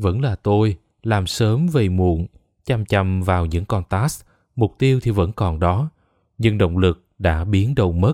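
Speaking at a very slow pace, a man with a fairly low pitch and a dark, mellow tone shows ordinary pitch variation in a dry, close sound with no echo, on a very clean recording with a silent background. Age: 20s. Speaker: podcast narrator. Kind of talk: scripted narration.

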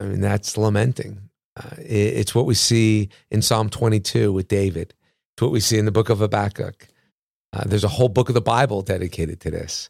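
With vocal fry and ordinary pitch variation, a man speaks fairly quickly at a fairly low pitch in a dry, close sound with no echo. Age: 50s. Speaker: pastor. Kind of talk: casual chat.

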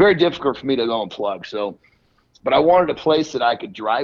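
With an American accent, a man speaks in a normal speaking voice at a fairly high pitch and a fairly quick pace. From US West Coast (northern California, then Portland, Oregon). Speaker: fitness influencer and bodybuilder. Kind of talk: casual chat. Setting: phone call.

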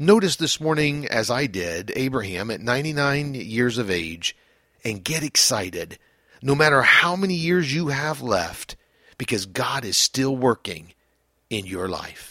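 Speaking fairly slowly at a medium pitch, a man uses a bright, sharp tone with vocal fry and very wide pitch swings. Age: 50s. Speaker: pastor. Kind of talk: devotional reflection.

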